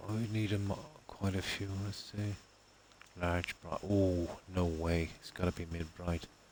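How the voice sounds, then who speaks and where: A man's very deep, low voice, monotone and flat, at a fairly slow pace with long, frequent pauses over noticeable background noise. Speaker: game streamer. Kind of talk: live gameplay commentary. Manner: muffled.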